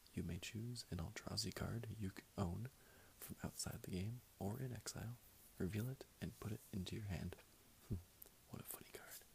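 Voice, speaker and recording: The speaker whispers at a moderate pace. Long pauses come often. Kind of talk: casual commentary. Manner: soft, hushed ASMR reading voice. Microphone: phone near.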